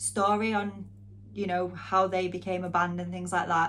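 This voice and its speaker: A strong northern English accent at a moderate pace. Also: woman. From northwest England, near Manchester. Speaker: music channel host and interviewer. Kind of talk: casual Q&A vlog.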